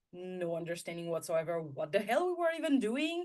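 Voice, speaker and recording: A woman talks with a French accent. Her pitch swings very widely. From France. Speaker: intuitive guide and content strategist. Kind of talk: interview.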